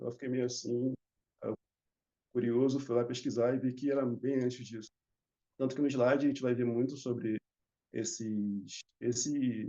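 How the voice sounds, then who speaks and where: Monotone and flat, a man's voice holds a medium pitch. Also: moderate pace. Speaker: barber. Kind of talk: conference panel talk.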